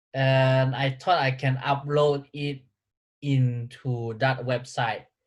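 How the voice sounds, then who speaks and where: Speaking at a very slow pace, a man with a medium pitch sounds somewhat breathy, his intonation monotone and flat. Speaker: vlogger. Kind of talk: casual chat. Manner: halting.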